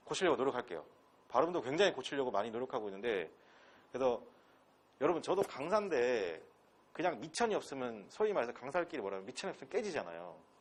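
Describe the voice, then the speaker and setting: At a very fast pace, a man with a medium pitch and vocal fry speaks in very wide pitch swings, broken by long, frequent pauses. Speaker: English instructor. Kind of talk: lecture. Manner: animated.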